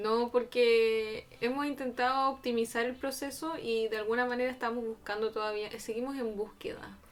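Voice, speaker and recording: Music plays in the background as a soft-spoken woman with a high pitch talks at a moderate pace with fairly even intonation. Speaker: podcast co-host. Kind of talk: casual chat. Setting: home studio.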